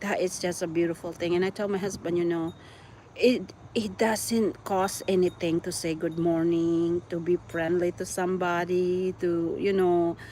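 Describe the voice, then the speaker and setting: A woman's fairly low-pitched voice at a moderate pace, monotone with flat intonation. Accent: Visayan Filipino. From Philippines (Cebu, Visayas). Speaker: YouTuber. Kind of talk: casual chat.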